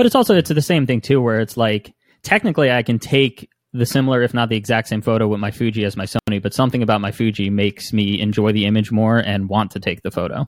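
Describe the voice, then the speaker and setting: A man with an American accent, medium pitch, ordinary pitch variation and a very fast pace. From northern New Jersey. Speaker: photographer and musician. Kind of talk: casual chat. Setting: video call.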